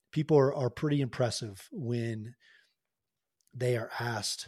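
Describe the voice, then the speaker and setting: Over a quiet background, a man with an American accent speaks at medium pitch, somewhat breathy. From Oklahoma, US. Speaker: retired Marine helicopter pilot and executive coach. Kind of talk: interview conversation.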